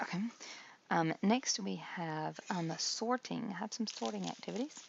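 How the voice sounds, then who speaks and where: A woman speaks at a moderate pace and a fairly low pitch. Her pitch swings very widely, with vocal fry throughout. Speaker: craft activity demonstrator. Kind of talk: tutorial. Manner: halting, many fillers.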